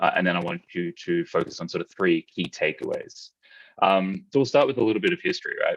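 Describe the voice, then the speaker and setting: A man with an Australian accent. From Australia, Melbourne. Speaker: conference speaker, e-commerce developer. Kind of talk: technical conference talk.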